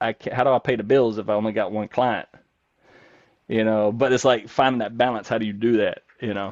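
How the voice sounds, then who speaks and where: Spoken at a fairly quick pace with a Southern US accent, the voice has a dry, close sound with no echo. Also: man, medium pitch for a man. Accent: Southern US accent, still noticeable. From North Carolina. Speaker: nurse coach. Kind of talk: podcast interview. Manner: animated, rapid run-on talk; halting, many fillers and restarts.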